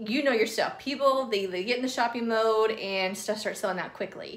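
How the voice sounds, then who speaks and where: Fairly high, fairly quick speech from a woman with a Southern US accent, fairly even intonation and audible room echo. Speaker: craft youtuber. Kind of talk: tutorial. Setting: at home. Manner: casual, filler-heavy.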